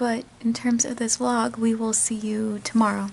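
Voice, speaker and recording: Quiet and fairly slow, a woman speaks at a high pitch. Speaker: vlogger. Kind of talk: casual vlog talk to camera.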